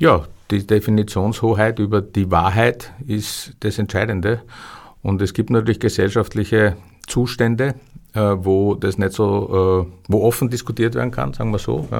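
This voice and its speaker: Fairly low in pitch, a man with an unremarkable speaking voice talks at a fairly slow pace with ordinary pitch variation. The recording is very clean, the background silent. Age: 60s. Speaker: historian and publisher. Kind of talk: interview. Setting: studio.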